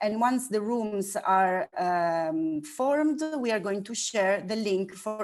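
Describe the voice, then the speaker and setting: Recorded very cleanly against a silent background, a woman talks at a very slow pace with lively intonation. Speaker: workshop facilitator. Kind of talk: workshop instructions.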